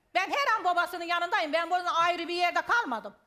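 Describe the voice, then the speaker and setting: A woman talks in a raised, projected voice at an extremely high pitch and a fairly quick pace. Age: 60s. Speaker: family member of a missing person. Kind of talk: heated debate.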